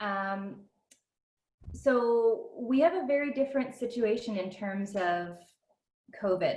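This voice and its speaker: A somewhat breathy woman with a Canadian accent and ordinary pitch variation. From Canada, Ontario. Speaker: homeschooling parent. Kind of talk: group video call sharing.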